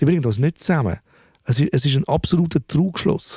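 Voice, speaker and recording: A man with a fairly high pitch speaks in a dark, mellow, somewhat breathy tone with ordinary pitch variation. The recording is very clean and dry, with a silent background and no echo. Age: 40s. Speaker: music producer. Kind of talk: casual interview. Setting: recording studio. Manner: halting, with many repetitions.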